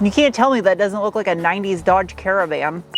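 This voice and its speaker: Faint music plays behind a woman whose medium-pitched voice has lively intonation and a dry sound with no echo. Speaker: car reviewer. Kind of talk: car review video. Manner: loud; animated. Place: car.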